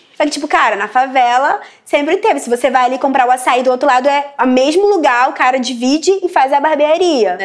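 Noticeable background noise sits behind a woman with a high pitch. She talks at a fairly quick pace with lively intonation. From Brasília periphery, Brazil. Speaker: journalist. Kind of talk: interview monologue. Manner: casual, filler-heavy.

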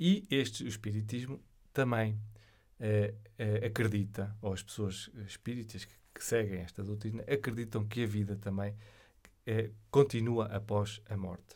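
A man's fairly low, somewhat breathy voice with a European Portuguese accent, at a fairly slow pace, with fairly even intonation and big swings in loudness. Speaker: podcast host. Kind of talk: solo monologue on spirituality. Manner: hesitant, many fillers.

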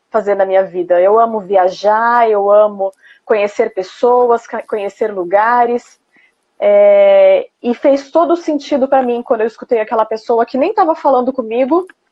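This woman has an unremarkable speaking voice, fairly high in pitch. She talks at a moderate pace with ordinary pitch variation and very even loudness. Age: 30s. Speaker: former flight attendant. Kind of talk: interview. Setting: Instagram live stream.

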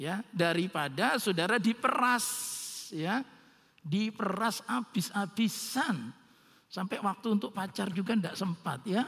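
Against noticeable background noise, a man with a high voice speaks at a fairly slow pace with lively intonation. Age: 60s. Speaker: pastor. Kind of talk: sermon.

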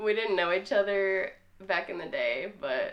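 Her voice is an ordinary speaking voice, a woman's at medium pitch with ordinary pitch variation. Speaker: podcast guest.

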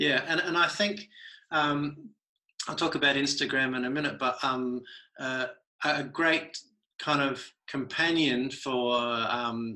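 In an Australian accent, a man speaks very slowly with long, frequent pauses, his bright, sharp tone set at a fairly high pitch that varies in an ordinary way. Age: 40s. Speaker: artist. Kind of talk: casual chat.

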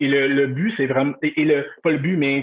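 Medium-pitched male speech, fairly slow in delivery. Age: 30s. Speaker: customer service director. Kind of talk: interview. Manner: halting.

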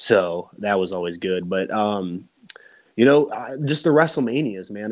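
A man with a fairly low pitch speaks in a normal speaking voice with ordinary pitch variation. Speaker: pro wrestler. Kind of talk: casual chat.

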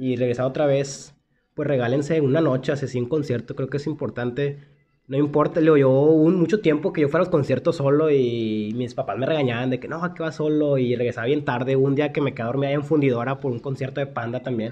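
At a fairly quick pace, a man speaks in an ordinary speaking voice with a fairly high pitch and fairly even intonation. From Mexico, Monterrey. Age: 20s. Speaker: podcast co-host. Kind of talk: casual chat.

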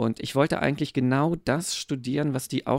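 A man uses an ordinary speaking voice, keeping to a moderate pace. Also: dry, close sound with no echo. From eastern Germany. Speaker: pastor. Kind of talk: casual interview.

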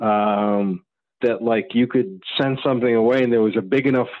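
The speaker uses a normal speaking voice with ordinary pitch variation. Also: man. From Maine and Connecticut, US. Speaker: zine maker and concert photographer. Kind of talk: casual chat.

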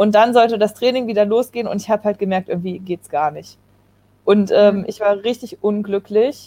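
A woman's fairly high voice, dark and mellow in tone, at a fairly quick pace with ordinary pitch variation, in a dry, close sound with no echo. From Germany, Kassel (northern Hesse). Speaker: Olympic canoe sprinter. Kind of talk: casual interview.

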